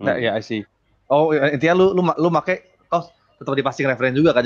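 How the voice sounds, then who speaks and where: A man talks at a very fast pace with ordinary pitch variation over a quiet background. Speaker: game developer. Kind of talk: tech talk discussion. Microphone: video call.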